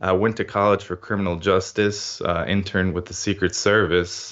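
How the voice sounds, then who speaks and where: A man with an American accent and a fairly low pitch speaks at a moderate pace. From US, immigrated from Ukraine at five. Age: 30s. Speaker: digital marketer and podcaster. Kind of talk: interview. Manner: concise.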